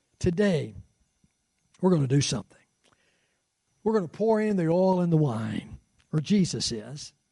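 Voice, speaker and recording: A man with an American accent and a dark, mellow tone talks at a moderate pace in a fairly high pitch, with very wide pitch swings and long, frequent pauses. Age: 60s. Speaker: pastor. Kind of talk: sermon. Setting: church with congregation. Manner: animated.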